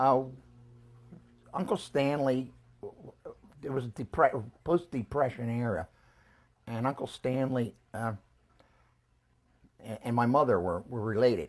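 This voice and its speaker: This man speaks with a Philadelphia accent at a medium pitch. His pace is fairly slow, with long, frequent pauses. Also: ordinary pitch variation. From Philadelphia, US. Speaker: family elder interviewed about his life. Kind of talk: life-history interview. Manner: halting.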